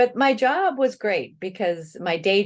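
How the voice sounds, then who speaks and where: This woman has an American accent and lively intonation. She speaks at a moderate pace over a quiet background. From US Midwest, Illinois. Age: 60s. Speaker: planning author and consultant. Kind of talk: interview.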